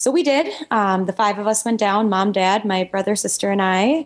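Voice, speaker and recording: A woman speaks with an Upper Midwest accent at a fairly slow pace. Her voice sits fairly high and her intonation is lively. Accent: Upper Midwest American. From Minnesota. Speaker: dentist and Olympic curler. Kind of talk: casual interview.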